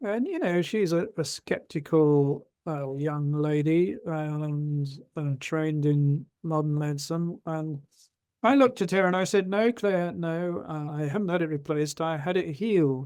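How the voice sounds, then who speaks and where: A man speaks with an English accent. His pitch is fairly high, with ordinary variation. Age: 70s. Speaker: retired doctor and rheumatologist. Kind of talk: interview storytelling.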